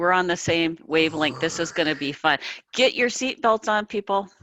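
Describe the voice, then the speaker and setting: Bright and sharp in tone, this voice has an Upper Midwest accent and ordinary pitch variation, recorded very clean with a silent background and a dry, close sound with no echo. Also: woman. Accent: Upper Midwest American. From US Midwest, South Dakota. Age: 60s. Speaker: author. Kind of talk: interview. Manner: high energy.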